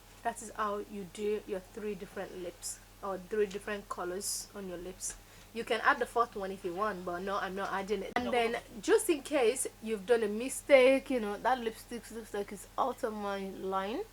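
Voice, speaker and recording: A woman with a Nigerian accent speaks at a moderate pace and medium pitch. Her pitch varies in an ordinary way, while her loudness swings widely. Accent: Nigerian (Yoruba) English. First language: Yoruba. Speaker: beauty vlogger. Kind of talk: tutorial. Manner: animated.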